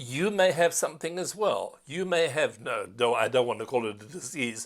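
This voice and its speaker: A man speaks at a moderate pace with a fairly high pitch, lively intonation and some vocal fry. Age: 60s. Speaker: tour company CEO and tour host. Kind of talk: promotional monologue. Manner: halting.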